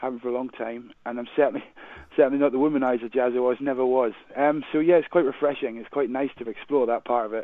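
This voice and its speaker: A man with a Glaswegian accent talks very fast at medium pitch with fairly even intonation. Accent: Glaswegian Scottish. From Scotland, Glasgow. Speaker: radio drama actor. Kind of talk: radio interview.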